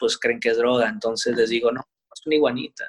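The sound is dry and close, without echo. A man speaks fairly quickly. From Sinaloa, Mexico (Culiacán). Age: 30s. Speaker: professional wrestler. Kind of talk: interview. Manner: relaxed.

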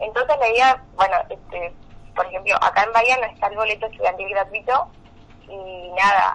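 Noticeable background noise sits behind a woman speaking at medium pitch. She talks at a fairly quick pace with ordinary pitch variation. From Argentina, Valle Medio, Río Negro. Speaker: law student and student union president. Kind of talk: radio interview.

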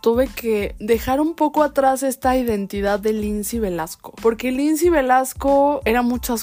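The recording is very clean, with a silent background. A woman speaks in a dark, mellow tone with ordinary pitch variation. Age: 20s. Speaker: podcast host. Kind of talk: casual monologue.

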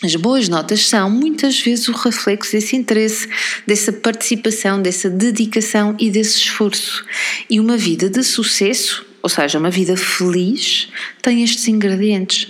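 With noticeable background noise behind her, a woman talks at a fairly high pitch in a European Portuguese accent. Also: ordinary pitch variation, moderate pace, very even loudness. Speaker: parenting podcaster. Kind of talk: solo podcast monologue.

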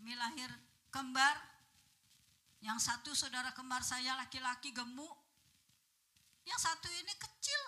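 A woman's high, raised and projected voice, animated in tone, at a fairly slow pace with long, frequent pauses. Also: ordinary pitch variation. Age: 70s. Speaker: preacher. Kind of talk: sermon. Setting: church.

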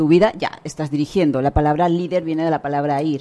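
Speaking very fast with a Spanish accent, a woman uses a very deep, low pitch, a dark, mellow tone and fairly even intonation. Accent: Peninsular Spanish. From Spain. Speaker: author and leadership consultant. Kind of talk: radio interview.

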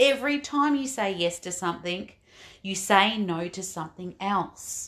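At a fairly slow pace, a woman with an Australian accent speaks at a medium pitch with ordinary pitch variation. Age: 50s. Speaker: life coach and podcast host. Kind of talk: motivational monologue.

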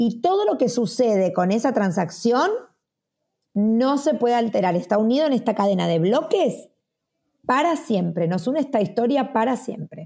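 A woman's fairly high voice with a dark, mellow tone, very wide pitch swings, very even loudness, and a moderate pace, on a very clean recording with a silent background. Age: 40s. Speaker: media personality and startup founder. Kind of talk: interview.

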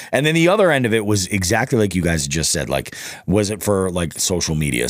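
A man at a very fast pace, with very wide pitch swings and noticeable background noise. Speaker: fishing podcast host. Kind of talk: casual chat.

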